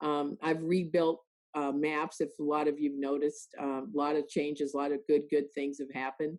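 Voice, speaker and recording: A woman with a very deep, low pitch speaks at a moderate pace in a monotone, flat delivery. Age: 70s. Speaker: real estate executive. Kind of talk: interview.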